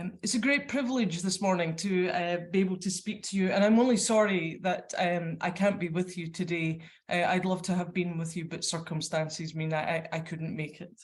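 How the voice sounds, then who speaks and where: A woman with a Scottish accent speaks at a moderate pace with hardly any pauses. Her fairly low voice is somewhat breathy, and the room has audible echo. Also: ordinary pitch variation. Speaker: librarian. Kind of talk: conference presentation. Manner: hesitant, many fillers; reading from notes.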